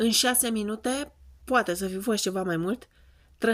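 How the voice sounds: Pitch rises and falls in an ordinary way. The voice is a natural reading voice.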